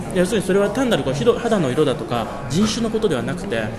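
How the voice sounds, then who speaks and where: A man with a high voice talks very fast, his pitch swinging very widely, while music plays behind him and the room echoes audibly. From Japan, Gunma (Shibukawa). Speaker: doctoral researcher in French-language literature. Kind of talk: casual interview chat. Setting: studio overlooking Asakusa.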